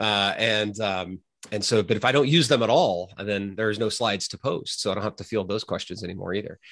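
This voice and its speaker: A plain, everyday voice from a man, fairly low in pitch with ordinary pitch variation, at a fairly quick pace over a quiet background. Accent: American. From US, Oklahoma. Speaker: philosophy professor. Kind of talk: casual interview conversation.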